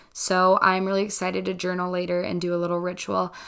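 The speaker is a woman with a medium pitch. She keeps a moderate pace. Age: 20s. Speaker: podcast host, college student. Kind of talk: casual solo monologue. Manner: casual, chatty.

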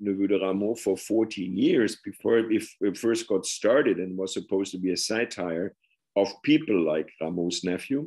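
With a German accent, a man speaks at a moderate pace in a fairly low pitch, his tone dark and mellow and his pitch variation ordinary. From Germany. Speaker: professor and author. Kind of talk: interview on his book.

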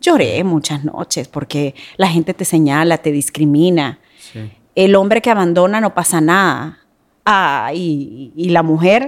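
A woman with a normal speaking voice talks at a fairly slow pace in a fairly low pitch, her intonation lively, on a very clean recording with a silent background. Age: 40s. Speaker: TV news presenter. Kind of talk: personal testimony in casual interview.

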